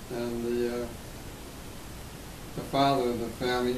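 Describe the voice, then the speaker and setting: A man speaks with audible room echo. There is noticeable background noise. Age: 80s+. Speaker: war veteran. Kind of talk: interview. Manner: halting.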